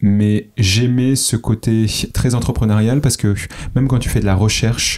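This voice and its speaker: A man with an unremarkable speaking voice talks at a fairly slow pace and medium pitch, with fairly even intonation and very even loudness. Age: 30s. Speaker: startup founder. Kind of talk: interview.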